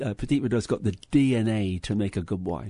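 A man with an English accent talks at a fairly low pitch. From England. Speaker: winery owner. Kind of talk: interview. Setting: studio.

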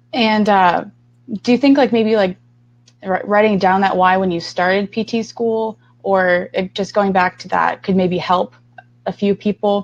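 In a dry, close recording with no echo, a woman of medium pitch speaks at a fairly slow pace with ordinary pitch variation and long, frequent pauses. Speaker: student podcast host. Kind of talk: interview.

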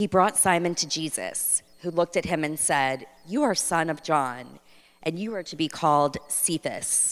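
A woman's plain, everyday voice, fairly low in pitch, with ordinary pitch variation at a moderate pace. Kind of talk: prayer and scripture reading.

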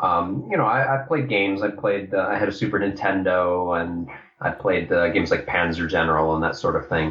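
Fairly low pitch for a man, ordinary pitch variation, fairly quick delivery and very even loudness, with noticeable background noise. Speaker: game designer. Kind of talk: casual interview.

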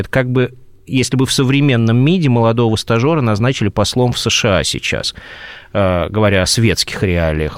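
An unremarkable speaking voice from a man at medium pitch, talking at a fairly quick pace with lively intonation, recorded very cleanly against a silent background with a dry, close sound and no echo. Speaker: Orthodox archpriest. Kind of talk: radio interview.

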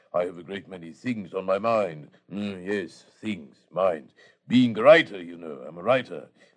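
A man mumbling in a put-on character voice at a moderate pace over a quiet background. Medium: old radio play. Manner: mumbling, repeats single words to himself.

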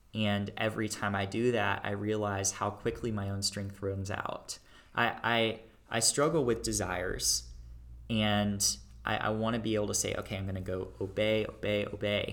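A man with an American accent, fairly low in pitch, with fairly even intonation at a moderate pace, an ordinary speaking voice. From Texas, Dallas area. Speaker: college student. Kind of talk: personal testimony.

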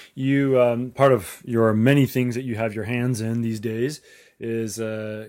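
A man with a normal speaking voice at medium pitch, in a very clean recording with a silent background. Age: 40s. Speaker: podcast host. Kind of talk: interview.

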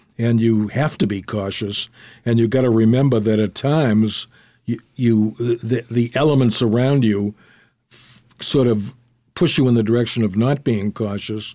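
A man with a dark, mellow tone speaks at a moderate pace with fairly even intonation. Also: medium pitch for a man. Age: 90s. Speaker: retired attorney and memoir author. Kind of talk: storytelling interview. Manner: halting, many fillers.

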